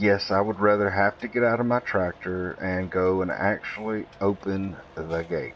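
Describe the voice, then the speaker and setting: With a Southern US accent, a man talks at a moderate pace with hardly any pauses, using fairly even intonation at a fairly low pitch. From US South. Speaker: gaming streamer. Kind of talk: live gameplay stream commentary. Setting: live stream. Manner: casual, conversational.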